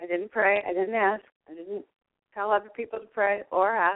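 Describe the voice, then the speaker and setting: An ordinary speaking voice moves at a moderate pace. Its pitch varies in an ordinary way. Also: woman. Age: 60s. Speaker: holistic nurse and card reader. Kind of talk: casual chat.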